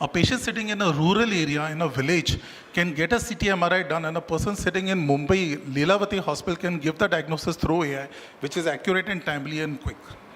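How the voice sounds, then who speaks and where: A man talks at a very fast pace with a high pitch and ordinary pitch variation. Noticeable background noise runs underneath. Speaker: doctor giving a medical talk. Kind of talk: lecture.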